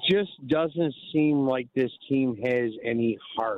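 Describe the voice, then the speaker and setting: A man with a Chicago accent speaks at a very slow pace. His pitch is fairly high. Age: 70s. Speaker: caller. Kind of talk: sports radio call-in. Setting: phone call.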